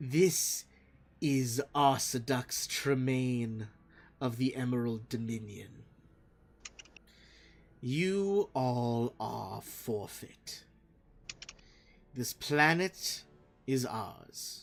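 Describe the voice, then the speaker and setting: A man uses a put-on character voice. He goes at a very slow pace with long, frequent pauses. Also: medium pitch for a man. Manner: sneering, lilting.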